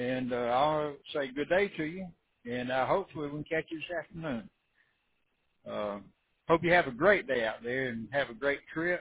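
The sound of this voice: A man's fairly high, husky voice with a rough edge, lively intonation and a moderate pace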